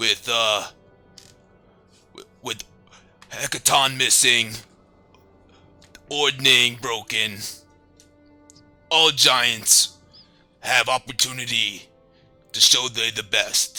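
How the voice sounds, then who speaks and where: A man's raspy put-on character voice at a medium pitch, very slow, with long, frequent pauses and faint music in the background. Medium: actual play. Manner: broken simple English.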